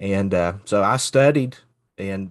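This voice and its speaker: With an Appalachian accent, a man talks with lively intonation. The background is quiet. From Eastern Kentucky, Floyd County. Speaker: associate minister. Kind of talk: casual faith conversation.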